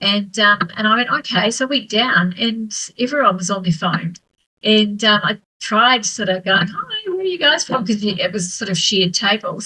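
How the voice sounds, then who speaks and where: Moderate pace from a woman with a fairly high pitch and ordinary pitch variation. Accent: New Zealand. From New Zealand. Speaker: author and solo traveller. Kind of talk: casual interview chat. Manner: hesitant, many fillers.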